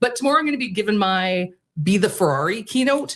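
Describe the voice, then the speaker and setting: A woman with a Canadian accent talks at a fairly quick pace, somewhat breathy and with lively intonation. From Canada. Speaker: keynote speaker and business owner. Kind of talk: radio interview. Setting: radio studio. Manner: animated.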